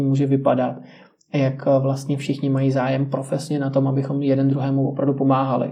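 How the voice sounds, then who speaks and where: The room echo is audible. A man with a fairly high pitch talks at a fairly quick pace. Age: 20s. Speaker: journalist. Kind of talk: interview.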